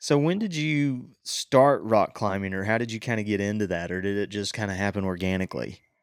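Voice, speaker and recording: A man with an American accent has a plain, everyday voice at a fairly low pitch. He speaks with hardly any pauses on a very clean recording with a silent background. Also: lively intonation, fairly quick pace. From western North Carolina. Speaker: podcast host. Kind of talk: casual chat.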